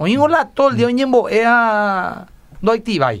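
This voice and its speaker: A man's high-pitched voice. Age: 40s. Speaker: pastor. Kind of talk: radio talk on relationship advice.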